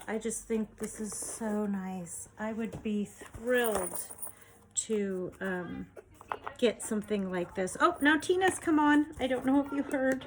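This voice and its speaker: A woman speaks quietly at a very slow pace in a fairly high voice with lively intonation, over noticeable background noise. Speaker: junk journal maker and online seller. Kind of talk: product show-and-tell video. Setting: home desk recording. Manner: sometimes mumbling; quieting down over time.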